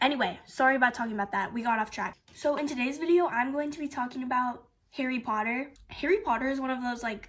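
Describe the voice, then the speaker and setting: Her voice is high, with ordinary pitch variation, as this woman speaks at a very fast pace. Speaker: book review youtuber. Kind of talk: casual vlog review. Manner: animated.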